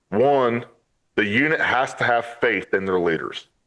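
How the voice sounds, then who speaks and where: In an American accent, a man with an unremarkable speaking voice talks at a fairly slow pace and medium pitch, with ordinary pitch variation against a quiet background. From upstate New York. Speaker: Marine veteran. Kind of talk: interview.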